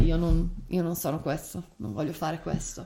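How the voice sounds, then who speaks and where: A woman's fairly low-pitched voice shows vocal fry and ordinary pitch variation. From Turin, northern Italy. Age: 30s. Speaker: podcast host. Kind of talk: casual conversational podcast. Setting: home desk recording.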